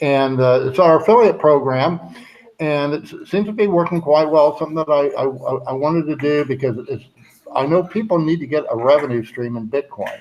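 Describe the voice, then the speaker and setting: Amid noticeable background noise, a man talks at a fairly quick pace. His pitch is fairly high, with ordinary pitch variation. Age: 70s. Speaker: livestream host, bitcoin cruise organizer. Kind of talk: casual chat. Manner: halting, many fillers.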